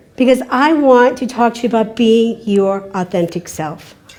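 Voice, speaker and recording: A woman's fairly slow speech over noticeable background noise. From Kentucky. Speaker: keynote speaker. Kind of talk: conference talk. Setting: stage with audience.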